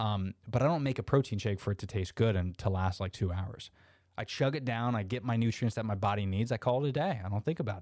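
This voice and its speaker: A man's very fast speech in a Floridian accent at a medium pitch, on a very clean recording with a silent background. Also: ordinary pitch variation. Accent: Florida American English. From US South, Orlando, Florida. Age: 30s. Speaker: podcast host. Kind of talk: casual interview chat; improvised guided visualization addressed to listeners, asking them to close their eyes. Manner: casual, filler-heavy, frequent uhs and restarts.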